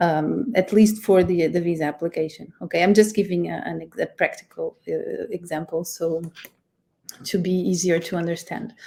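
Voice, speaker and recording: With a Portuguese accent, a woman of medium pitch speaks in a dark, mellow tone that is somewhat breathy. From Portugal. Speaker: immigration lawyer. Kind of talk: webinar presentation. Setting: live stream. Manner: halting, many fillers.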